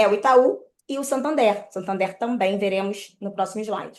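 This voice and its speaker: Here is a woman with a normal speaking voice and a fairly high pitch. She keeps a moderate pace and lively intonation. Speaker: mortgage credit broker. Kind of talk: online presentation.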